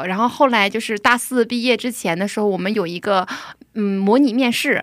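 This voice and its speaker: An ordinary speaking voice from a woman, fairly high in pitch, at a fairly quick pace with ordinary pitch variation. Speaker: preschool teacher. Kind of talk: testimony.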